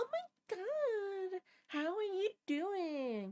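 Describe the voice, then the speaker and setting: A woman's put-on character voice, squeaky and extremely high. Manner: high-energy, cheerful.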